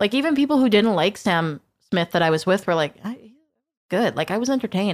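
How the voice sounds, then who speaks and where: In a very clean recording with a silent background, a woman with a western Canadian accent talks at a fairly quick pace and medium pitch, her pitch swinging very widely. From western Canada, Fraser Valley. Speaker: country radio host. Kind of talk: casual chat. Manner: energetic, animated.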